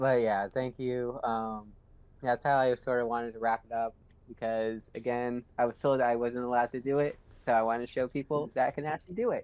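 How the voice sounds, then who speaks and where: Fairly quick, monotone, flat delivery with a Boston accent. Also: man, medium pitch for a man. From US Northeast, Boston. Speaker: podcast guest. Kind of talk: casual chat.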